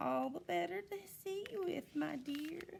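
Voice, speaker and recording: A woman with a high pitch uses a put-on character voice with a gentle tone, speaking at a fairly slow pace. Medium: read story. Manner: disguised, falsely gentle.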